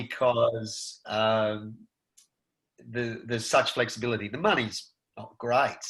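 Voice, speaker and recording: A man with an Australian accent speaks at a very slow pace in a medium pitch. His intonation is monotone and flat, while his loudness swings widely. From rural Victoria, Australia. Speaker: actor. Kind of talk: interview answer. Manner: casual, conversational.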